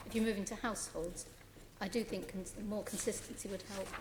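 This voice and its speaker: A soft-spoken woman in a British accent, monotone and flat, with audible room echo and noticeable background noise. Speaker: nominee at a public confirmation hearing. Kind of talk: formal hearing answers. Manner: hesitant, many fillers.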